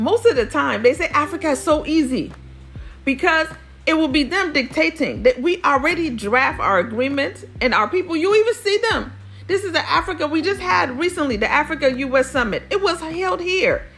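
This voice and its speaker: A high-pitched woman with a Nigerian accent, animated in tone, her pitch swinging very widely, over noticeable background noise. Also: moderate pace. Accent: non-native Yoruba. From US, Nigerian-American family. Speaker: podcast host, former diplomat. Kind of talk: interview conversation. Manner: animated, with many fillers.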